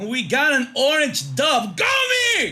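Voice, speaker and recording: This man's voice is raised and projected, with an extremely high pitch. He speaks at a fairly slow pace. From Mexico. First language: Spanish. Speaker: esports caster. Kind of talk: live commentary. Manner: animated.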